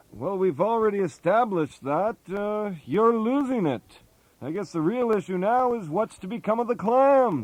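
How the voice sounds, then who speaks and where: A man puts on a gruff character voice pitched high. His intonation is lively and his pace moderate. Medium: comedy sketch. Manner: blunt, gruff.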